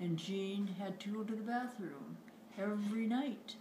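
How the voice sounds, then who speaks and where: A woman with an American accent speaks with fairly even intonation, with audible room echo and noticeable background noise. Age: 80s+. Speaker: family member giving birthday greeting. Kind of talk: casual family video message.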